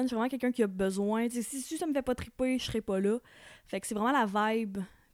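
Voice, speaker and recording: Very fast and fairly high in pitch, a woman speaks with ordinary pitch variation in a dry, close sound with no echo on a very clean recording with a silent background. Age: 20s. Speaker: podcast guest. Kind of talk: casual chat.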